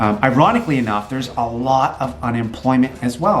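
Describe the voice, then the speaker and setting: Music plays behind a man speaking fairly quickly in an animated tone at a medium pitch with ordinary pitch variation. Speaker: entrepreneur and realtor vlogger. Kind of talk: motivational talk to camera. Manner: fast.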